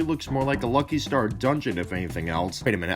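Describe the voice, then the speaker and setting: Music plays in the background as a man talks at a very fast pace. His pitch swings very widely. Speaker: gaming video creator. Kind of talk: comedic video game review narration. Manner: sarcastic, joking.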